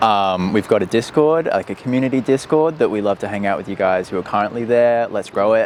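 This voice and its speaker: A man with an Australian accent talks at a very fast pace, with hardly any pauses, a medium pitch and ordinary pitch variation. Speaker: startup co-founder. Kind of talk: casual chat. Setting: outdoors.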